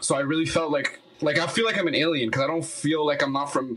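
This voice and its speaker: A man with a Spanish accent at a fairly quick pace, over noticeable background noise. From Quebec, Montreal (born in Colombia, moved as a baby). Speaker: musician. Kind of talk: casual chat.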